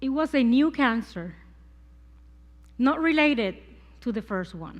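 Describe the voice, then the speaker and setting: Very wide pitch swings and a fairly slow pace, in a Puerto Rican accent. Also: woman, high pitch for a woman. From Puerto Rico. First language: Spanish. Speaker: cancer survivor sharing faith. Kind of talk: testimony. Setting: church service.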